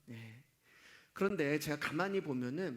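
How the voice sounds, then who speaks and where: At a fairly slow pace, a man talks in a fairly high pitch that swings very widely. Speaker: pastor. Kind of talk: sermon. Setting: church service. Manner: gets loud, shouts while preaching.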